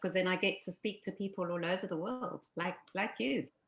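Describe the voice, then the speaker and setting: At a moderate speed, a woman talks with a pitch in the middle range. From Zambia. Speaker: life coach. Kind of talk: interview.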